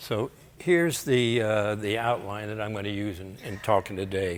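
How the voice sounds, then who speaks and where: A man with an American accent speaks at a moderate pace amid audible room echo. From Florida. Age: 90. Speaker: retired air force pilot. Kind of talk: lecture.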